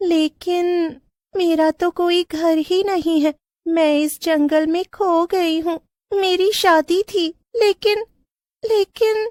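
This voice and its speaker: In a cartoonish character voice, a woman speaks very slowly at an extremely high pitch. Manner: eerie.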